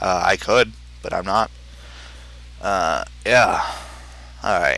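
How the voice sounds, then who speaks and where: A man's bright, sharp voice marked by vocal fry. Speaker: gamer doing a let's play. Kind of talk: casual gameplay commentary. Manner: halting.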